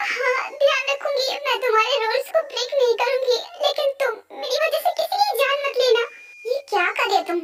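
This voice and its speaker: A put-on character voice, female-sounding and extremely high in pitch. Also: moderate pace. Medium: dub. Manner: pleading, fearful.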